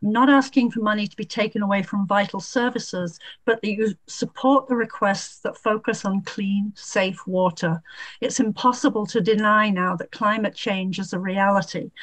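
Against a quiet background, a woman speaks at a moderate pace in a somewhat breathy, fairly high voice with fairly even intonation. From Vermont. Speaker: citizen testifier; public witness. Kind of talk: public testimony. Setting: video call. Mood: earnest, concerned advocacy. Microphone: webcam.

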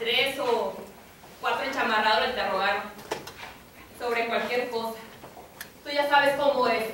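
Strong room echo and light background noise surround a woman who speaks at a fairly slow pace with fairly even intonation. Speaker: actor in a play. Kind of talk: theatrical dialogue. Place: stage. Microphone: camera far.

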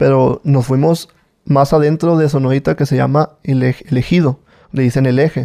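A man with a dark, mellow tone speaks against a quiet background. His intonation stays fairly even. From Mexico, Culiacán, Sinaloa. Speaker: former drug mule. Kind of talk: testimony. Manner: halting, many repetitions. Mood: calm storytelling. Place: studio. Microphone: studio mic.

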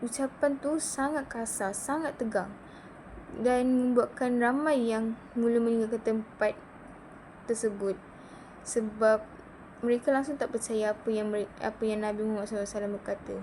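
A woman with a fairly high pitch talks at a fairly slow pace in a fairly even tone, leaving long, frequent pauses over noticeable background noise. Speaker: student. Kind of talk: class presentation. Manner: halting.

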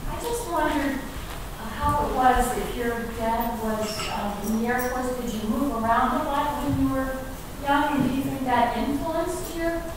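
At a fairly slow pace, a woman speaks in a high pitch, with clear background noise and audible room echo. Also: ordinary pitch variation.

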